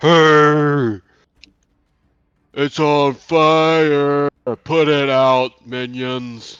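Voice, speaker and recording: A man's booming, fairly high put-on character voice at a very slow pace, with fairly even intonation and long, frequent pauses. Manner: angry, commanding.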